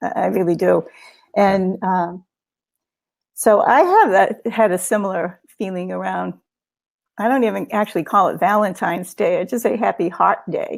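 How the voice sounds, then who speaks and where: Long, frequent pauses mark the speech of a woman with a Boston accent. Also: moderate pace. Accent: Boston accent, drops R. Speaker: guest co-host of spiritual book discussion. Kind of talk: casual discussion webinar. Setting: live webinar. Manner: halting, many fillers.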